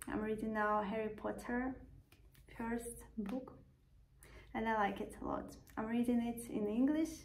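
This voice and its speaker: A non-native accent, somewhat breathy, at a fairly slow pace with long, frequent pauses, fairly even intonation and audible room echo. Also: woman, fairly high pitch for a woman. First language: not English. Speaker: vlogger. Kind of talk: casual vlog monologue.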